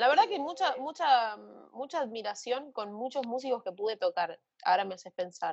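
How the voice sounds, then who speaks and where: At a moderate pace, a woman with a Rioplatense accent speaks in a high voice whose pitch swings very widely and whose loudness varies greatly. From Argentina. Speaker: singer-songwriter. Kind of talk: casual interview chat.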